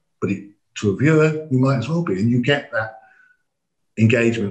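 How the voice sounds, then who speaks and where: The speaker is a man with an English accent and a somewhat breathy voice. He talks at a moderate pace with ordinary pitch variation. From England. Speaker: AV company managing director. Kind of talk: podcast interview.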